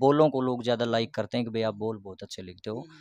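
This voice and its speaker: This man's voice is recorded dry, without any echo. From Haryana. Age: young. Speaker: bhajan singer and lyricist; interviewee. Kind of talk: interview. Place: home room. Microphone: handheld.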